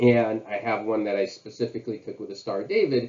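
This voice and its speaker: This man has a normal speaking voice at medium pitch. He talks at a fairly quick pace with ordinary pitch variation. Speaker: college history teacher. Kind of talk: history lecture to camera. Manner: casual, conversational with fillers.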